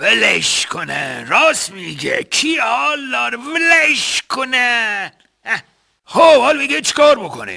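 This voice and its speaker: Put-on character voice from a man, pitched extremely high. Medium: comedy sketch. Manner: lazy, grunting, easily swayed.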